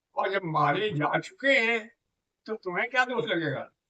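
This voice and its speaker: Raised and projected, a man's high-pitched voice carries lively intonation. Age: 80s+. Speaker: scholar of scriptures and Sanskrit. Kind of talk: religious teaching in conversation.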